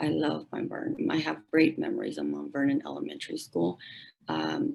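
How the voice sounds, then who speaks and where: Here a woman talks in a Spanish accent. She keeps to a moderate speed. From Mexico, raised in San Bernardino, California. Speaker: middle school educator. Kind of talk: public forum speech.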